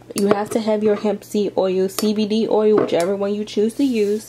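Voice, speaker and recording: A woman talks at a fairly slow pace, with noticeable background noise in the recording. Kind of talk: tutorial.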